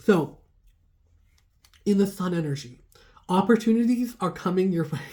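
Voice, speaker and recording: A woman speaks at a moderate pace with a medium pitch, a dark, mellow tone, a somewhat breathy quality, lively intonation and long, frequent pauses. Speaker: tarot reader. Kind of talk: tarot reading. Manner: casual, chatty.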